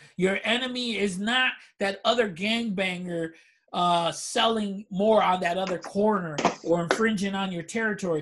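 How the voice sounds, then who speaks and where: Speaking at a moderate pace, a man with an American accent has a high pitch and fairly even intonation. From Chicago, Humboldt Park. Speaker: podcast co-host. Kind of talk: casual chat. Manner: lecturing.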